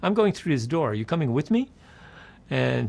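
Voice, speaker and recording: A man speaks with vocal fry. His pitch is medium. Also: very clean recording, silent background. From Netherlands, later New York City. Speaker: game publisher. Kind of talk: interview storytelling. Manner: animated; simple, clear English.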